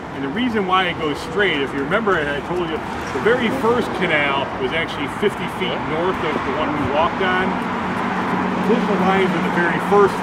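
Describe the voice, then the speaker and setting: Over loud background noise, a man's speech moves at a moderate pace, his pitch varying in an ordinary way. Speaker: walking tour guide. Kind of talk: tour guide explanation. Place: street. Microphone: camera far.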